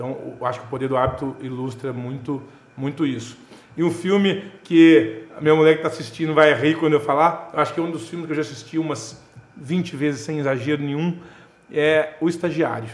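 This is a normal speaking voice with ordinary pitch variation. The pace is fairly quick. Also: man, fairly high pitch for a man. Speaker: real estate businessman and speaker. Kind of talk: casual interview chat.

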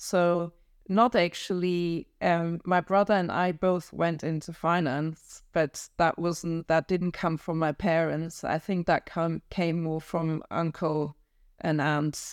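In a German accent, a woman speaks very slowly in a monotone, flat intonation, on a very clean recording with a silent background and a dry, close sound with no echo. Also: fairly low pitch for a woman. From northern Germany. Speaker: independent financial advisor. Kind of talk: interview.

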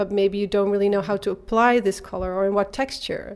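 A woman talks with a Dutch accent in a very clean recording with a silent background. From Netherlands, Eindhoven. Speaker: artist and design teacher. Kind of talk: interview. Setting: exhibition space.

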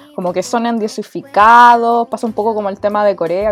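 With a Chilean accent, a woman speaks at a fairly quick pace and medium pitch, with ordinary pitch variation and music in the background. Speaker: podcast host. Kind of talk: casual chat.

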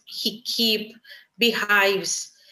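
With a Greek accent, a woman speaks in a fairly high voice with a bright, sharp tone and fairly even intonation. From Cyprus, Nicosia. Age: 30s. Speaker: beekeeper and agronomist. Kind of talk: personal testimony. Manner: halting.

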